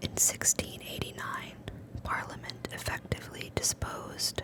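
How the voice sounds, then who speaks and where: A woman whispers at a fairly slow pace while noticeable background noise runs underneath. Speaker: ASMR creator. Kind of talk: ASMR textbook reading. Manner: whispered.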